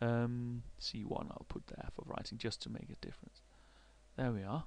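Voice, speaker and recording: In a Danish accent, a man speaks at a moderate pace. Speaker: university researcher. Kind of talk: software tutorial. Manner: halting, many fillers and repetitions.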